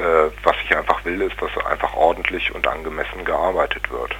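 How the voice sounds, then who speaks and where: Noticeable background noise is heard. Over it, a man speaks at a fairly slow pace. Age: 40s. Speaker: psychiatric patient pursuing legal complaint. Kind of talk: interview testimony. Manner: halting, frequent fillers.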